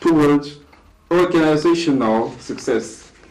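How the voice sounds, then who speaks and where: A man talks against noticeable background noise. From DR Congo. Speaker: discussion guest on leadership. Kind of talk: talk show discussion. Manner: slow, deliberate; halting.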